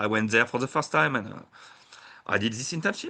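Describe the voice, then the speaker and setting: The voice carries a French accent. Its tone is bright and sharp. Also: man. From France, Burgundy. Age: 30s. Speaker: sake brewer and tour operator. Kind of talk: interview. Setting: podcast. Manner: halting.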